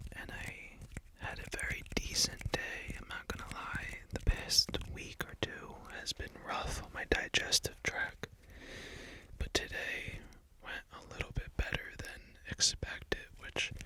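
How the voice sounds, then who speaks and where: A man whispers at a fairly slow pace. Loudness swings widely, and background noise is noticeable. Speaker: ASMR creator and musician. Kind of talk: ASMR talk to camera, casual and calming. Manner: soft, calming, slow, whispered.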